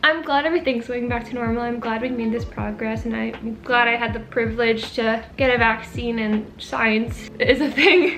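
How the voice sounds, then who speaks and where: With hardly any pauses, a woman talks at a fairly high pitch with ordinary pitch variation, over noticeable background noise and audible room echo. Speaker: YouTuber. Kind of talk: casual chat. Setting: friend's living room, filming at home. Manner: fast.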